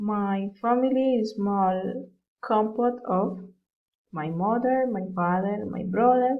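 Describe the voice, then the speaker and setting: Speech in a Colombian accent comes at a very slow pace with ordinary pitch variation. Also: woman, fairly high pitch for a woman. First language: Spanish. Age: 20s. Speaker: university student. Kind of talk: self-introduction for English class. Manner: halting.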